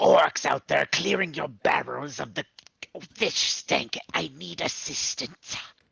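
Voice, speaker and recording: A put-on character voice growls at a low-to-middle pitch. The pace is fairly slow. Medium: actual play. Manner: formal, no contractions.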